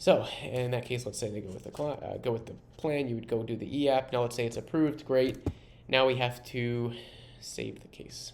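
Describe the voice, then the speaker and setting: A plain, everyday voice: a man at medium pitch and a moderate pace, with fairly even intonation and big swings in loudness. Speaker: software co-founder giving product demo. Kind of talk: software demo tutorial.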